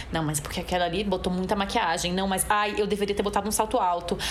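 A woman's medium-pitched, very fast speech with noticeable background noise and audible room echo. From Brazil, Recife (Pernambuco). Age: 30s. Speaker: actress and singer. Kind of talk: casual interview chat.

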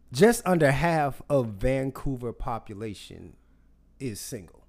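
With an American accent, a man speaks in a normal speaking voice at medium pitch and a fairly slow pace. His intonation is lively, and his loudness swings widely. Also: very clean recording, silent background. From US South. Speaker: podcast host. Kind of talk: casual chat.

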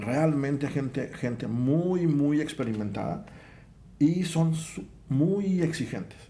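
At a very slow pace, a man speaks in a dark, mellow tone with ordinary pitch variation and audible room echo. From Mexico, Veracruz. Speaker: engineer in hospital construction. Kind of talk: casual chat.

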